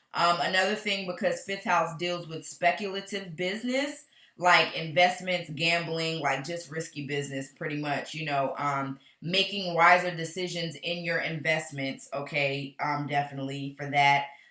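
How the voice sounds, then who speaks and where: Speech with hardly any pauses, set against noticeable background noise. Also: woman, fairly low pitch for a woman, ordinary pitch variation, moderate pace. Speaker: astrologer. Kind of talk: astrology forecast talk to camera.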